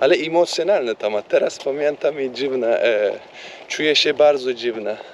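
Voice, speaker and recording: A man talks at a fairly slow pace with a non-native accent. Noticeable background noise runs behind him. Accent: non-native Polish, weak command. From Turkey. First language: Turkish (speaking Polish). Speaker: vlogger. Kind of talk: casual chat. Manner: halting, many fillers and English switches.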